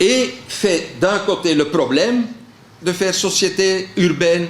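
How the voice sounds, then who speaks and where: A man with a high-pitched voice talks very slowly and with lively intonation, amid noticeable background noise and audible room echo. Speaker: panel speaker on culture. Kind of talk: panel talk. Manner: halting, many fillers.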